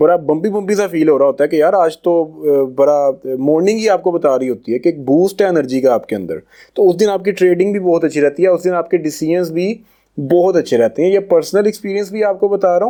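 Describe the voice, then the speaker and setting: Moving at a moderate pace, a man speaks at a high pitch with ordinary pitch variation. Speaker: trading course teacher. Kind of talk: recorded course lecture. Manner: casual, with hesitations.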